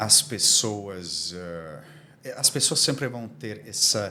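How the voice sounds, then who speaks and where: With a non-native accent, a fairly low-pitched man speaks at a very slow pace with lively intonation in audible room echo. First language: Armenian (speaking Portuguese). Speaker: diplomatic community commissioner. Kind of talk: podcast interview. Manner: halting.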